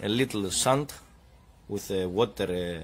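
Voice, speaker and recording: A man speaks with a Greek accent. His pitch variation is ordinary. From Greece. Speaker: DIY car repair youtuber. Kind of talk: tutorial. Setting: home garage. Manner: halting.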